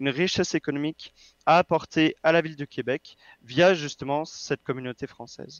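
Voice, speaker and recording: Here is a man with an ordinary speaking voice at a fairly high pitch. He talks at a fairly quick pace with ordinary pitch variation. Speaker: political candidate. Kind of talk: interview.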